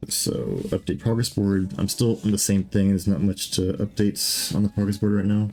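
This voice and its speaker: Over music in the background, a man talks with an American accent at a moderate pace. His pitch is fairly low, his intonation fairly even, and his loudness very even. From US West Coast. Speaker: game developer streamer. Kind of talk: live-stream programming chat. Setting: live stream. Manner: hesitant, many fillers.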